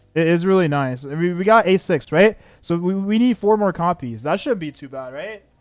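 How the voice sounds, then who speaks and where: Over background music, a man speaks in a high voice at a moderate pace. His intonation is lively. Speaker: gaming streamer. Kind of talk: live stream commentary. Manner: loud; stammering repetitions.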